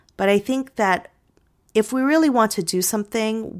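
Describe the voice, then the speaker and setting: Lively intonation marks a woman's plain, everyday voice in a very clean recording with a silent background. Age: 40s. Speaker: podcast host and author. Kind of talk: casual solo talk.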